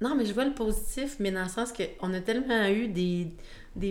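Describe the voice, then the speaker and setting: Audible room echo surrounds a woman with a Quebec accent. She talks at a fairly slow pace with ordinary pitch variation. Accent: Québécois. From Quebec, Shawinigan. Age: 20s. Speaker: sales representative. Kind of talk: casual chat.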